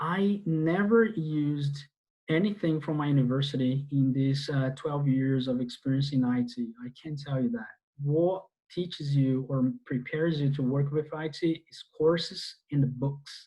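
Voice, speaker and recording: A man with a Portuguese accent, somewhat breathy, at a fairly slow pace. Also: fairly high pitch for a man, ordinary pitch variation, quiet background. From Brazil. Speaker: database instructor; IT course instructor. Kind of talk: online class lecture. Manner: halting, many fillers. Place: home room. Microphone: earbuds.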